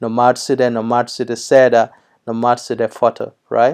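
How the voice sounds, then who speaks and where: A man speaks at a fairly slow pace. His intonation is monotone and flat. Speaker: language teacher. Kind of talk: tutorial. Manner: hesitant, many fillers.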